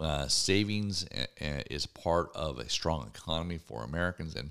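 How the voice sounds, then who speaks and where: On a very clean recording with a silent background, a man with a very deep, low pitch and vocal fry speaks with lively intonation. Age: 50s. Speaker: radio talk show host. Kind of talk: opinion talk show monologue. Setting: radio studio. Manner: halting.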